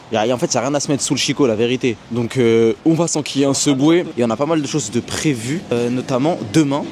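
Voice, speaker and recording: A man talks at a fairly quick pace with very even loudness and ordinary pitch variation. His pitch sits in the medium range, with noticeable background noise behind him. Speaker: travel vlogger. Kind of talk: travel vlog. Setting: outdoors. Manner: casual, slangy; fast.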